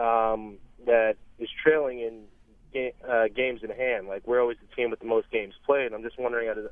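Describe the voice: The man's medium-pitched voice moves at a moderate pace with little pitch movement.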